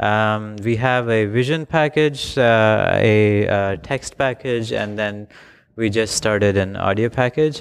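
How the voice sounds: A man's fairly low voice at a slow pace with few pauses, a clear, smooth tone, vocal fry and ordinary pitch variation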